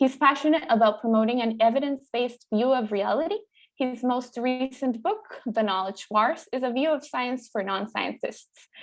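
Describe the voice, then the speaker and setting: Speaking with a Spanish accent, a woman uses a high pitch with ordinary variation at a moderate pace. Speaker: veterinary student, event host. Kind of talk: formal introduction. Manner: formal.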